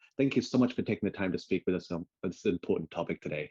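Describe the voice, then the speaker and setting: A very fast man's voice with an English accent, dark and mellow in tone, with ordinary pitch variation and a dry, close sound with no echo. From England. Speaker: webinar host and freelance graphic designer. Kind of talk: online webinar presentation. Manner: friendly, casual with filler words.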